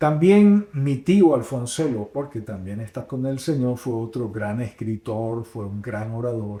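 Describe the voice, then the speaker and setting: A man's medium-pitched voice has a dark, mellow tone and lively intonation. He goes at a fairly slow pace with hardly any pauses. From Dominican Republic, Puerto Plata. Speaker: radio announcer and pastor. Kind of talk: interview. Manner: expressive, varied intonation.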